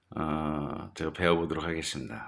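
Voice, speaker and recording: A man speaks at a fairly slow pace. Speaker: farmer. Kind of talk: introduction to camera.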